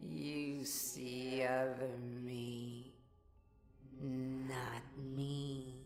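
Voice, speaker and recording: A put-on character voice at low-to-middle pitch, with clear background noise. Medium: read story. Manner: broken, simple phrasing.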